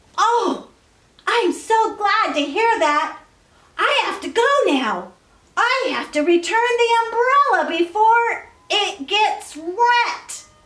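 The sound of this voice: An exaggerated character voice, pitched extremely high and moving very slowly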